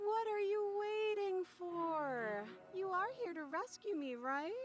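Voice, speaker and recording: A woman's put-on character voice, extremely high-pitched, with lively intonation and clear background noise. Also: fairly slow pace. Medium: video game. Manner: sweetly deceptive, hint of threat.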